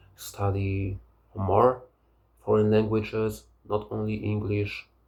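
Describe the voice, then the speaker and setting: Somewhat breathy and fairly low-pitched, a man with a Polish accent talks at a very slow pace in a monotone, flat delivery. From Poland. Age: 30s. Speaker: language learner vlogger. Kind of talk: casual monologue. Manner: halting.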